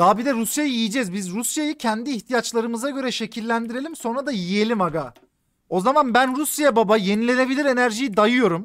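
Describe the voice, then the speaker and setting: Over a quiet background, a man speaks at an extremely high pitch in an animated tone, with ordinary pitch variation and a fairly quick pace. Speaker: gaming streamer. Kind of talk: live game stream commentary. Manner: animated, casual with heavy swearing.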